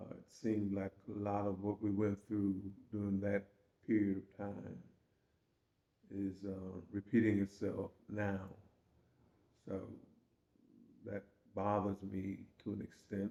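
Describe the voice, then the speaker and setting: A man with a Georgia accent and a fairly low pitch speaks fairly slowly in a dark, mellow tone and monotone, flat intonation, with long, frequent pauses. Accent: Southern US (Georgia). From Savannah, Georgia, US South. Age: 80s+. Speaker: retired teacher and memoir author. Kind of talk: interview. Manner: halting.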